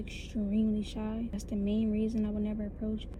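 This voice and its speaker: A woman speaks with an American accent at a fairly high pitch. Audible room echo surrounds her. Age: 20s. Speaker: vlogger. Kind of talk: personal vlog monologue.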